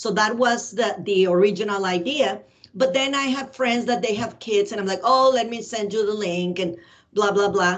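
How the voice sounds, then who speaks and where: Medium-pitched female voice in a Spanish accent, at a moderate pace with ordinary pitch variation. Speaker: ESL teacher. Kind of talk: casual interview. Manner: hesitant fillers.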